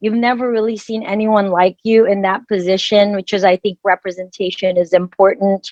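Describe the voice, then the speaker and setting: A woman with a Filipino accent speaks at a moderate pace and medium pitch, with fairly even intonation. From Philippines. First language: Filipino language. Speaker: dermatologist. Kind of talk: panel discussion.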